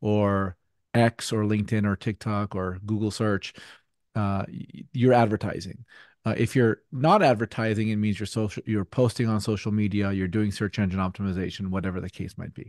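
A normal speaking voice, a man at a fairly low pitch talks at a moderate pace with fairly even intonation, in a dry sound with no echo against a quiet background. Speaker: podcast guest. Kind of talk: interview answer. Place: home room. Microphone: studio mic.

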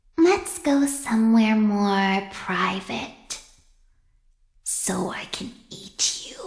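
This female-sounding voice is a put-on character voice, fairly high in pitch. It moves at a very slow pace. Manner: taunting, predatory.

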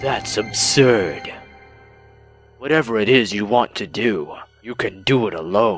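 A man uses a cartoonish character voice at medium pitch and a fairly slow pace. Faint music plays in the background. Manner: curt, cold, defiant.

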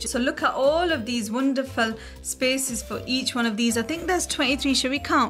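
Over faint background music, a woman speaks at a high pitch with ordinary pitch variation. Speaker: toy reviewer. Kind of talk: unboxing commentary.

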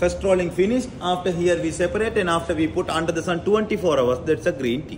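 Over light background noise, a man talks very fast in a high voice with ordinary pitch variation and hardly any pauses. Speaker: factory guide. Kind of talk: tour explanation. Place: factory. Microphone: phone near.

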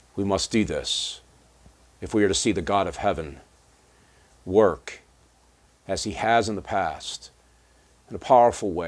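Speaking at a fairly slow pace, a man with an American accent has a very deep, low pitch. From United States. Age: 50s. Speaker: pastor. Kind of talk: devotional talk. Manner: halting. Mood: earnest, calm. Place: home room.

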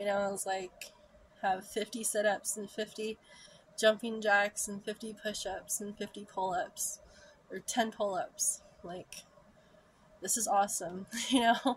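At a very slow pace, a somewhat breathy woman speaks with fairly even intonation and long, frequent pauses. Her loudness swings widely over light background noise. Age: 30s. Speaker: vlogger. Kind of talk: personal storytelling monologue. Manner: frequent laughter. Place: home room. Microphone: phone near.

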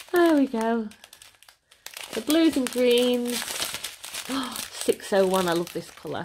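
Speaking very slowly with long, frequent pauses, a woman uses a high pitch. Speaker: diamond painting hobby youtuber. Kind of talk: unboxing video. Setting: at home. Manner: chatty with frequent ums.

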